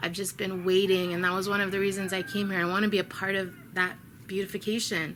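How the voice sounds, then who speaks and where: A woman with a Chicago accent at a very fast pace, her intonation monotone and flat. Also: medium pitch for a woman. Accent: American, Chicago. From US Midwest, Chicago. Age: 30s. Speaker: vlogger. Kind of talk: spiritual video update. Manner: earnest, with hesitations.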